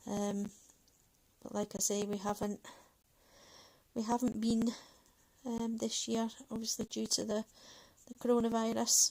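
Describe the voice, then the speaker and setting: At a moderate pace, a woman with a fairly high, somewhat breathy voice and a dark, mellow tone speaks in a monotone, flat way with long, frequent pauses. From Manchester, northern England. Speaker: colouring YouTuber. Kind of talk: casual livestream chat while colouring. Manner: hesitant, many fillers.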